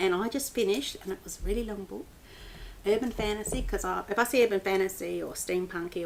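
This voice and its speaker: The woman's pitch is medium. She talks at a fairly quick pace. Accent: Australian. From Australia. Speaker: book blogger. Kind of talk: casual vlog book review. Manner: animated, with many fillers.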